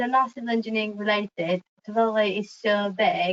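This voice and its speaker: Talking at a fairly quick pace, a woman with a Romanian accent has a fairly high pitch. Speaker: civil engineer. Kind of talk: webinar presentation. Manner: fast.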